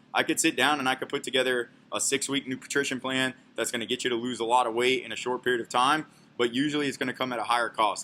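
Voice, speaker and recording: The voice has a bright, sharp tone and fairly even intonation. It moves at a very fast pace. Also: man. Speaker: fitness coach. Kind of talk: informal talk to camera. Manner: casual, conversational.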